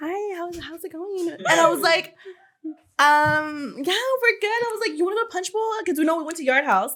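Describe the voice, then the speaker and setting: A woman speaks loudly at an extremely high pitch, her tone bright, sharp and animated. Her intonation is lively and her pace moderate, with long, frequent pauses. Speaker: beauty podcast host. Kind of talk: casual chat.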